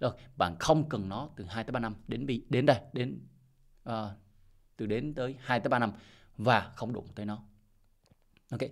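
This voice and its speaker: A man at medium pitch and a moderate pace, with ordinary pitch variation, long, frequent pauses and a quiet background. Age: 40s. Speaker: crypto investment YouTuber. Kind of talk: casual monologue advice video. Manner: repetitive, halting with fillers. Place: home room. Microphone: studio mic.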